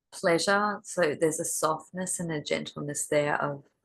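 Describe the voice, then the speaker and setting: Speaking with an Australian accent, a woman talks at a fairly slow pace in a very deep, low voice with fairly even intonation. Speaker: intuitive card reader. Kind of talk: tarot card reading. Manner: conversational, hesitant with fillers.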